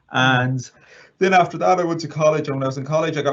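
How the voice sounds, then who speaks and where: Speaking with a western Irish accent, a man uses ordinary pitch variation. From Ireland, County Mayo. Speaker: assistive technology trainer. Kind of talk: interview. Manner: halting.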